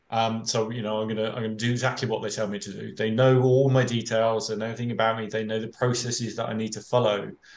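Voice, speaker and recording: A man with a British accent talks at a very fast pace in a medium pitch, his intonation monotone and flat. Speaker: fraud prevention expert, panelist. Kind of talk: panel discussion. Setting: webinar. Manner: hesitant, many filler words and repetitions.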